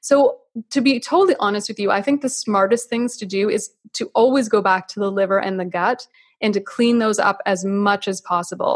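Speaking with a Canadian accent, a woman sounds somewhat breathy at a fairly high pitch. Her pace is fairly quick, with ordinary pitch variation. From Canada. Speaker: naturopathic physician. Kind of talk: interview on health.

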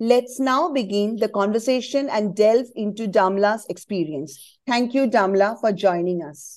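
A woman speaks in an unremarkable speaking voice, fairly high-pitched, with lively intonation and a fairly slow pace. She hardly pauses, and the background is quiet. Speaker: podcast host. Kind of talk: scripted intro then interview questions.

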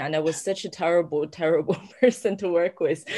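Against a quiet background, a woman with a Chinese accent talks fairly quickly at a fairly low pitch with ordinary pitch variation. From China, Sichuan near Chengdu. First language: Mandarin Chinese. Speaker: novelist. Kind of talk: interview conversation.

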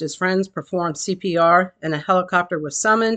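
With a normal speaking voice, a woman talks at a fairly quick pace, her medium pitch showing ordinary variation, and the background is quiet. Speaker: local news anchor. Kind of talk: formal news reading, brisk headline bulletin read from a script. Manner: formal; even, steady, authoritative delivery.

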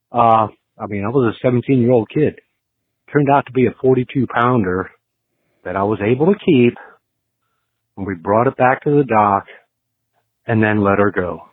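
A man at medium pitch, with long, frequent pauses. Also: ordinary pitch variation, moderate pace. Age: 50s. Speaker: podcast caller. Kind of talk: recorded phone story.

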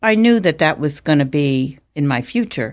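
The recording is very clean, with a silent background. The pitch swings very widely. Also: woman. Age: 70s. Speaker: speech language pathologist. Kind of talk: interview conversation.

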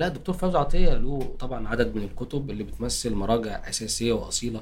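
A man is speaking. His pace is moderate. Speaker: university dean and translator. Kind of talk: interview.

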